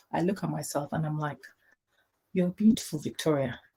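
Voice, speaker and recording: A woman speaks with a very deep, low pitch and a dark, mellow tone. Her voice is somewhat breathy. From Nigeria, Kaduna State. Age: 40s. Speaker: banker and gospel singer, talk guest. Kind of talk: motivational talk.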